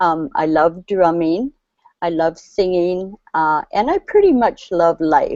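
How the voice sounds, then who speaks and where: A woman's fairly low, dark, mellow voice at a fairly slow pace, with ordinary pitch variation and a dry, close sound with no echo over a quiet background. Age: 60s. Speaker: community worker. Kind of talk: testimony. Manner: halting.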